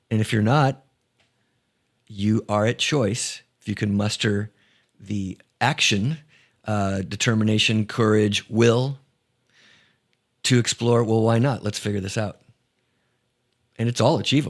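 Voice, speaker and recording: In a very clean recording with a silent background, the voice moves at a fairly slow pace with fairly even intonation and long, frequent pauses. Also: man, fairly low pitch for a man. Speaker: musician. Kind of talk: interview answer. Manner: soft-spoken.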